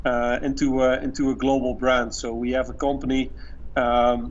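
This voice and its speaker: The speaker is a man with a Dutch accent, moving at a moderate pace. Audible room echo surrounds his voice. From Netherlands. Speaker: marketing executive. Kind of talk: podcast interview. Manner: halting, many fillers and repetitions.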